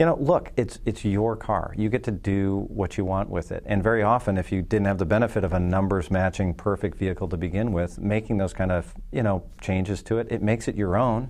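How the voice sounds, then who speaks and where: Fairly quick pace from a man with an ordinary speaking voice, a fairly low pitch and ordinary pitch variation. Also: hardly any pauses. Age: 40s. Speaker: insurance company executive. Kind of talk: casual chat. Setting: studio.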